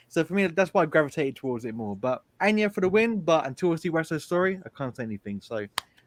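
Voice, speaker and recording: Speaking in a London accent, a man with a fairly high pitch talks very fast with hardly any pauses and very wide pitch swings. The sound is dry and close, with no echo. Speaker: film reviewer. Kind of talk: casual chat.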